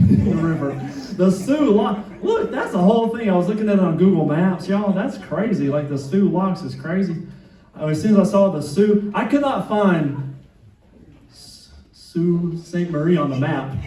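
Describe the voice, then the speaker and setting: A man speaks with a Southern US accent at a high pitch. Room echo is audible. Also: ordinary pitch variation, moderate pace. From US South, Atlanta (South Side). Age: 50s. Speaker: stand-up comedian. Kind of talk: stand-up. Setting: stage with audience.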